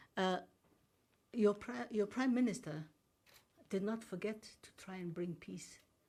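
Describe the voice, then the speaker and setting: A woman speaks at a fairly slow pace with lively intonation. Her tone is dark and mellow, and somewhat breathy. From Somaliland. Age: 80s+. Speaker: diplomat. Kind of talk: press briefing. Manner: formal.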